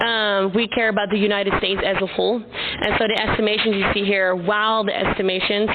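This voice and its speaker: A woman speaks at a very fast pace with medium pitch and fairly even intonation over noticeable background noise. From Netherlands. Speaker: startup founder. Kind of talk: conference presentation. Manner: loud.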